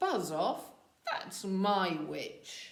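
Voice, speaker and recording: A woman's put-on character voice, croaky, growling and shrill, at a medium pitch. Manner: gruff, menacing.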